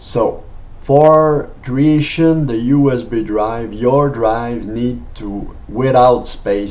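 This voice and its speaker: A medium-pitched man with a Quebec accent, amid noticeable background noise and audible room echo. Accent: French Canadian accent in English. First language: French. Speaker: software tutorial maker. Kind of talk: tutorial. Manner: halting, many fillers.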